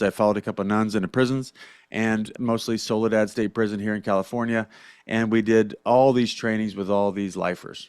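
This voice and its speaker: On a very clean recording with a silent background, a man talks at a fairly quick pace with fairly even intonation. His is a plain, everyday voice, fairly low in pitch. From US Midwest, Southern Illinois. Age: 40s. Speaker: leadership coach. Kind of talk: podcast interview. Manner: casual, conversational.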